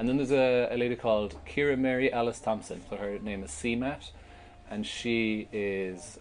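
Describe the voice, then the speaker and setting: A man's fairly low voice shows ordinary pitch variation. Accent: Cork. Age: 30s. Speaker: festival organiser. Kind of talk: casual chat.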